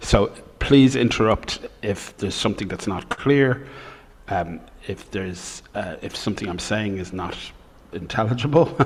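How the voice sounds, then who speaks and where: With an Irish accent, a man speaks at a fairly low pitch using lively intonation, long, frequent pauses and big swings in loudness, over noticeable background noise. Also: moderate pace. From Ireland. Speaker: professor. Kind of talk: lecture.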